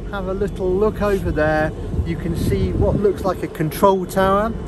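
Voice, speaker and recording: The recording sounds dry with no echo, though noticeable background noise comes through. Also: man. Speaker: travel vlogger. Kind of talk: casual vlog chat. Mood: cheerful, relaxed. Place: boat. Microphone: phone near.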